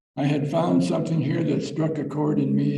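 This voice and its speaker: Audible room echo surrounds a man whose pitch variation is ordinary. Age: 80s+. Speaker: church member giving a short talk. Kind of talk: reading aloud a personal talk at a church service. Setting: church service. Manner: halting, some repeated words.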